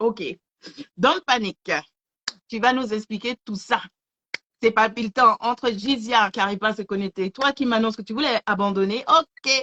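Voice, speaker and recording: In a dry, close recording with no echo, a woman with a fairly high, bright, sharp voice speaks at a fairly slow pace with ordinary pitch variation and long, frequent pauses. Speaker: live show host. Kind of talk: live stream chat with promotions. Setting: online video live stream. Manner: stammering.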